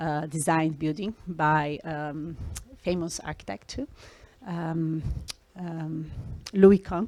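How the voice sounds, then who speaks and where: A woman speaks in a Brazilian accent at a very slow pace with fairly even intonation. The recording is very clean, with a silent background. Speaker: scientist. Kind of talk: talk to students. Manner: hesitant, many fillers.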